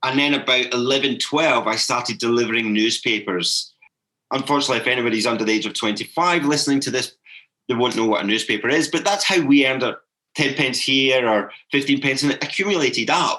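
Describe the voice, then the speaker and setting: This man talks at a very fast pace, his medium pitch carrying a bright, sharp tone. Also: ordinary pitch variation. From Scotland, Glasgow. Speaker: holistic coach. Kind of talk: podcast interview.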